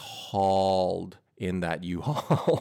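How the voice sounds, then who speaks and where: The recording is very clean, with a silent background. A man speaks in a fairly low voice with a western Canadian accent. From Edmonton, Alberta, Canada. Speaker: podcast guest. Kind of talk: casual chat.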